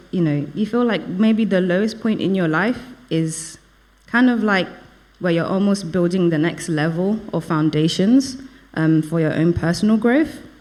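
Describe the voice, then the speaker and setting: Through audible room echo, a woman speaks with lively intonation. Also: medium pitch for a woman, moderate pace. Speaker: lay preacher. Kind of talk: sermon. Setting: church service. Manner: hesitant, many fillers.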